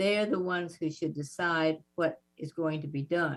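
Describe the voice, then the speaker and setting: A woman speaks with a Southern US accent. Her pitch is fairly low and her pace moderate. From US South. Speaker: civil rights activist. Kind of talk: interview.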